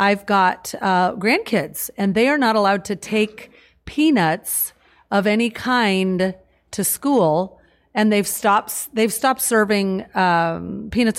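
A woman with a West Coast accent speaks at a medium pitch with ordinary pitch variation and very even loudness, on a very clean recording with a silent background. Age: 50s. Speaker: wellness product promoter. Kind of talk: casual interview. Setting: studio.

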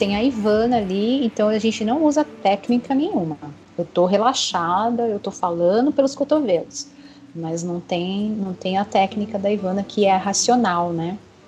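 With noticeable background noise behind her, a woman talks at a moderate pace in a medium pitch with ordinary pitch variation. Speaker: clinical psychologist. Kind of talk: interview. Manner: talkative.

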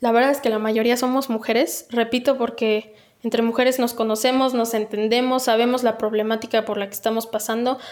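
A woman at a fairly quick pace, in a central Mexican accent. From Mexico, Texcoco (State of Mexico). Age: 20s. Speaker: political candidate. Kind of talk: interview.

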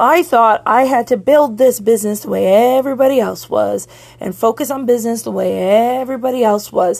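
This woman's fairly high voice carries an animated tone, with ordinary pitch variation and a moderate pace. The recording is very clean, with a silent background. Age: 40s. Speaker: podcast host and business coach. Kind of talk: solo rant monologue.

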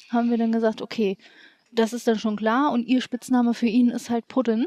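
The woman's voice is fairly high in pitch, with a dark, mellow tone. The sound is dry and close, with no echo. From Hanover region, northern Germany. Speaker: cosplayer. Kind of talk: casual chat.

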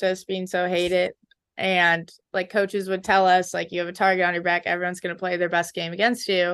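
Against a quiet background, a woman speaks in an American accent at a medium pitch. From Minnesota (Edina), US Midwest. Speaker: college ice hockey player. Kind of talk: interview. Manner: casual, many fillers like 'um' and 'like'.

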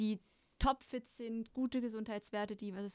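Using an ordinary speaking voice, a woman talks at a fairly quick pace with fairly even intonation. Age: 20s. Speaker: former eating disorder patient. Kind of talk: casual chat.

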